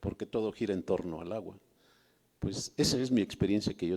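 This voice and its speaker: His voice sits fairly low for a man, with a dark, mellow tone and ordinary pitch variation. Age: 70s. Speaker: audience member sharing memories. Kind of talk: testimony. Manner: halting.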